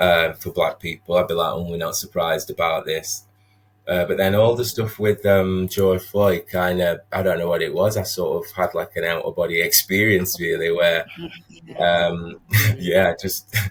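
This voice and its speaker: At a fairly slow pace, a man with a Sheffield accent speaks over noticeable background noise. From northern England, Sheffield. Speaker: social worker. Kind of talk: podcast interview. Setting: video call.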